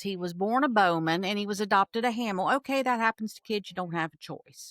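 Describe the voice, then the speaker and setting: A woman in an Appalachian accent swings her pitch very widely. The recording is very clean with a silent background, and the sound is dry and close with no echo. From Appalachia, southeastern Ohio. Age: 60s. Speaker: military veteran and political commentator. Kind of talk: casual interview. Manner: animated.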